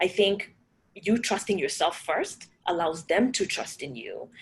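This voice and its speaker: Speaking in a Kenyan accent, a woman with a medium pitch keeps an animated tone. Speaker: panel moderator, startup program leader. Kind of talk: panel discussion.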